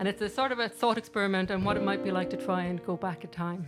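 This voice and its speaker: A woman talks at a fairly quick pace with a medium pitch and ordinary pitch variation. Music plays in the background. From Ireland, Limerick. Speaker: singer-songwriter and storyteller. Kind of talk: casual stage talk to live audience. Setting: live venue with small audience.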